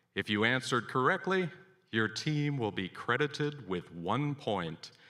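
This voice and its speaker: A man with an American accent, medium pitch and a bright, sharp tone, fairly slow, on a very clean recording with a silent background. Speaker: quiz emcee. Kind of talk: event announcements. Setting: event hall with audience. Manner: formal.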